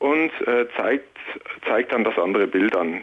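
This man speaks very slowly, his pitch swinging very widely. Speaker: security researcher. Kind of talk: phone-in explanation. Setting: phone call.

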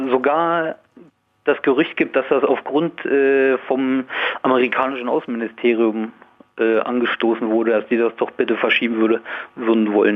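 A man at a moderate pace, with fairly even intonation, very even loudness, and long, frequent pauses. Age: 20s. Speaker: radio caller. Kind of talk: phone-in call. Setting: phone call.

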